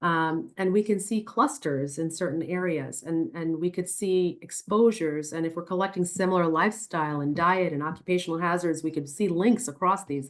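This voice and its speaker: A woman with a plain, everyday voice speaks with an American accent at a fairly quick pace. Her pitch is fairly low with ordinary pitch variation, over a quiet background. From New York City, the Bronx. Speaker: neurologist. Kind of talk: Q&A answers in a webinar talk.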